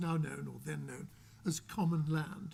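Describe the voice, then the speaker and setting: This man talks with an English accent. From England. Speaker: author. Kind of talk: panel discussion.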